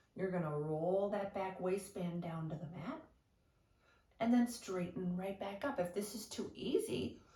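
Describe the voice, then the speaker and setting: A woman with a medium pitch speaks at a fairly slow pace, somewhat breathy, with a dark, mellow tone. Her intonation is lively, and audible room echo can be heard. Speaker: Pilates instructor. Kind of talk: exercise class instruction. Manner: encouraging, guiding.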